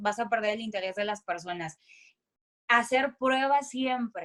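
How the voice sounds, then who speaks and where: A loud woman with an animated tone and lively intonation. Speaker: voice-over announcer and speaker. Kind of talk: voice coaching talk.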